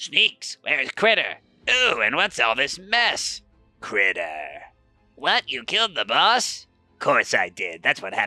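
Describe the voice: A man performs a put-on character voice at a fairly slow pace. Faint music plays in the background.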